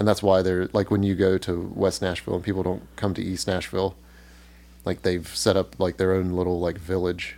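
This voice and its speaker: With a very deep, low pitch and a dark, mellow tone, a man talks at a moderate pace with fairly even intonation. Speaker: musician. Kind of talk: casual chat.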